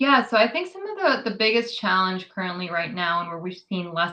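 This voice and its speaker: Vocal fry colors this woman's fairly low voice, which has a bright, sharp tone. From New York City. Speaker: immigrant rights advocate. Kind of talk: interview.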